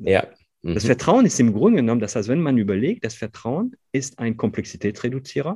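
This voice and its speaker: With a French accent, a man speaks fairly quickly at a medium pitch and with lively intonation. His tone is dark and mellow and somewhat breathy. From northern France. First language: French (speaking German). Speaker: company founder and CEO. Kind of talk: interview conversation. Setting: video call. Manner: halting, many fillers.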